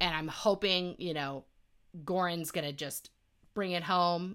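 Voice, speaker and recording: The tone is bright and sharp, with fairly even intonation at a fairly slow pace. The recording is very clean, with a silent background. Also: woman. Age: 40s. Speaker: podcast co-host. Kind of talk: casual chat.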